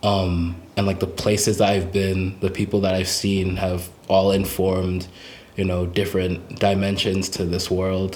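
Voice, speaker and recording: In a room with audible echo, a man speaks at a fairly slow pace with a very deep, low pitch, a somewhat breathy voice and monotone, flat intonation. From Essex, England, then international schools in China. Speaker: musician. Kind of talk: casual interview. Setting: homemade fort set.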